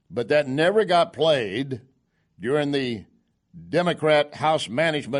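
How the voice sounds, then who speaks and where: At a fairly slow pace, a man speaks in a plain, everyday voice, fairly high in pitch with ordinary pitch variation, against a quiet background. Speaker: conservative radio talk show host. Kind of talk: radio commentary monologue.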